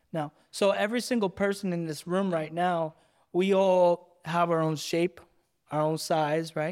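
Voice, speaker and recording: In a very clean recording with a silent background, a man with a high pitch talks at a fairly slow pace and with fairly even intonation. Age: 30s. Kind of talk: casual interview; spoken word poem.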